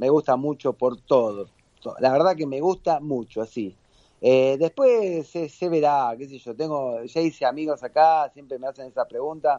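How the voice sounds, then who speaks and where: A man's unremarkable speaking voice, fairly high, at a moderate pace with big swings in loudness. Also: ordinary pitch variation. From Argentina. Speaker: lawyer, football fan. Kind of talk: radio interview.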